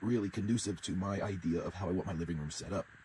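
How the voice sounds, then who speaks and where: Very deep and low, a man's somewhat breathy voice has a dark, mellow tone and ordinary pitch variation at a very fast pace. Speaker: RV living vlogger. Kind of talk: casual vlog.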